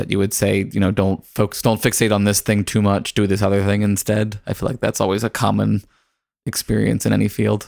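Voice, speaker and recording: A man with a fairly low voice and vocal fry speaks fairly quickly in a flat monotone, his loudness very even. The recording is very clean with a silent background. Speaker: podcast co-host asking questions. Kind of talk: casual interview chat. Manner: halting, filler-heavy.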